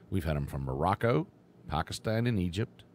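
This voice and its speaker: This man speaks with an Appalachian accent. His pitch swings very widely. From West Virginia. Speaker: radio host. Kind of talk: live radio show chat.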